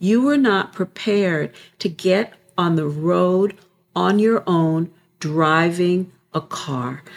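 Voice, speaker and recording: A woman's fairly low voice, very slow in pace, with lively intonation. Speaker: spiritual podcast co-host. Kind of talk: casual spiritual conversation.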